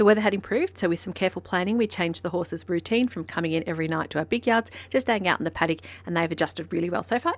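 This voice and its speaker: Delivered at a very fast pace with an Australian accent, the speech shows ordinary pitch variation. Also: woman, fairly low pitch for a woman. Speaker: horse trainer. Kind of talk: vlog narration.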